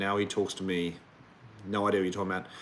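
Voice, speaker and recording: This speaker is a man. He talks with an Australian accent. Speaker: relationship coach. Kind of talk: livestream Q&A. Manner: casual.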